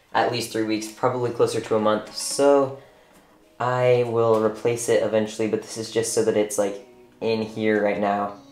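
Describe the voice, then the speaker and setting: Speaking in a monotone, flat intonation at medium pitch, a man talks at a moderate pace amid audible room echo. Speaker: reptile keeper YouTuber. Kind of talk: tutorial. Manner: casual, filler-heavy.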